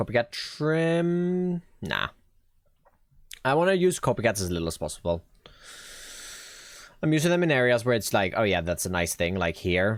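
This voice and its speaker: A man at medium pitch with a slight Swedish accent, very wide pitch swings, a moderate pace and long, frequent pauses, in a very clean recording with a silent background. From Sweden. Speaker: Minecraft streamer. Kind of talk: live stream gameplay chat. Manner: casual, thinking aloud.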